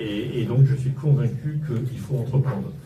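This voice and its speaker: Noticeable background noise and audible room echo fill the clip. A man speaks at a medium pitch and a fairly slow pace, with fairly even intonation. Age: 60s. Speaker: local political candidate, entrepreneur. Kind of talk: campaign speech. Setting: campaign office opening, live audience. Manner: hesitant, many fillers.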